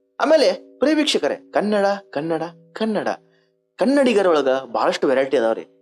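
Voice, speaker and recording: Music plays in the background. A man talks with very wide pitch swings. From North Karnataka, India. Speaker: comedian. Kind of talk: stand-up.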